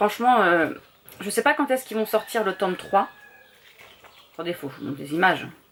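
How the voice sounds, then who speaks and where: A woman's fairly quick speech with very wide pitch swings, long, frequent pauses and noticeable background noise. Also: medium pitch for a woman. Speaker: vlogger. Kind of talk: casual vlog chat. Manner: hesitant, many fillers.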